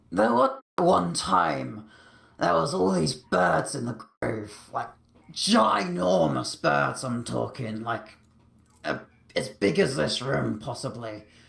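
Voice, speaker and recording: Putting on a character voice, a man speaks in a raspy, medium-pitched tone at a fairly slow pace. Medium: machinima. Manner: rambling, chatty.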